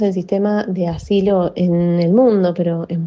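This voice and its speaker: A woman's fairly low-pitched voice with fairly even intonation, a plain, everyday voice. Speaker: lawyer at a legal rights organization. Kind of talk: expert interview answer.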